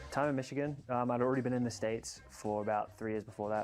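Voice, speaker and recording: A man speaks with music in the background. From Australia. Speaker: pickleball player. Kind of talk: interview.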